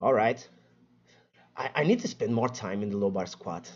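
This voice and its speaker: A man talks at a moderate pace with a Portuguese accent. His pitch swings very widely, and there is vocal fry. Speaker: fitness content creator. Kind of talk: casual livestream chat. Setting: live stream. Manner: stuttering.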